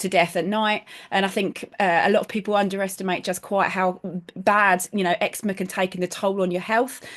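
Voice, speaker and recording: A medium-pitched woman at a moderate pace, with a British accent. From United Kingdom. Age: 40s. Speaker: product user giving testimonial. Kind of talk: testimony.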